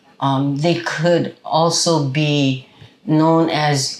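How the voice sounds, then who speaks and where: A woman's very deep, low voice with a Hawaiian accent and lively intonation. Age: 70s. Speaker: Native Hawaiian activist. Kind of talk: interview. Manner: halting, many fillers.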